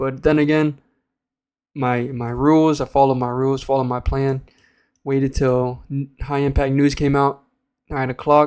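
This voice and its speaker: A moderate pace with long, frequent pauses, in a very clean recording with a silent background. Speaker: day trader. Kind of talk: trade recap tutorial. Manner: loud; casual, hesitant with fillers.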